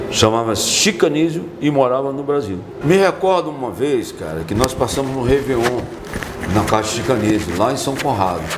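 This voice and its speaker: A man speaks at a medium pitch and a moderate pace, with very wide pitch swings. Audible room echo and noticeable background noise fill the recording. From Brazil, Piauí (Teresina). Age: 60s. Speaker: musician. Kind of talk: casual interview. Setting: podcast. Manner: repetitive stammering.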